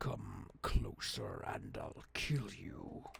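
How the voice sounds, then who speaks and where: A man growls his way through a put-on character voice. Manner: threatening.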